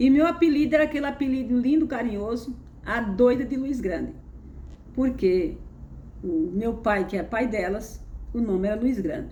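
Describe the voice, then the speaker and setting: In a room with audible echo, a woman talks at a moderate pace. Her fairly high voice carries lively intonation. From Brazil, interior of Pernambuco. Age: 70s. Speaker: spiritual content creator. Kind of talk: personal testimony. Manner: conversational, halting with repetitions.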